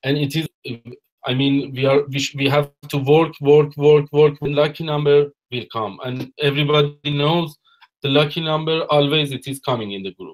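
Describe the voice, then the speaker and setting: A man with a non-native accent, fairly high in pitch, his intonation fairly even but his loudness swinging widely. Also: moderate pace. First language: not English. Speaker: network marketer presenter. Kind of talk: webinar presentation.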